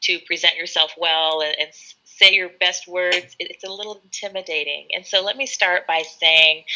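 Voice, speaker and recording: At a moderate pace, a woman with a fairly low pitch speaks in a bright, sharp tone with fairly even intonation. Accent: Californian. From California, US (Sacramento). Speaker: English tutor. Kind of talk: live online English lesson chat. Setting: live video stream.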